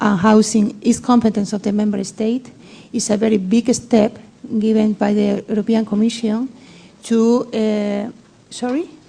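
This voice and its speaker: A woman speaks at a fairly slow pace and fairly high pitch in monotone, flat intonation, with noticeable background noise. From Spain. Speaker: session chair. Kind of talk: panel discussion.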